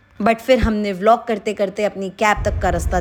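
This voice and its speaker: Through noticeable background noise, a woman's voice comes across. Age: 20s. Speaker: travel vlogger. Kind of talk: travel vlog narration. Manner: animated.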